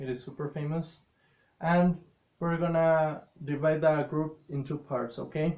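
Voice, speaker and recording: A man talks with a non-native accent at a fairly slow pace. His pitch is fairly high. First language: not English. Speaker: English teacher. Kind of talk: classroom lesson.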